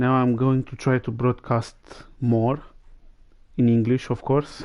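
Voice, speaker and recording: A man talks at a fairly slow pace. His voice sits at a medium pitch. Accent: Romanian. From Romania. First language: Romanian. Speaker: gaming livestreamer. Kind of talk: gameplay commentary.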